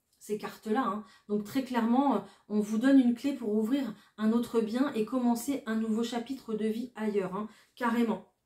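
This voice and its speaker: A woman's fairly high, somewhat breathy voice at a fairly slow pace. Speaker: tarot card reader. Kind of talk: tarot reading. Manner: hesitant, many fillers.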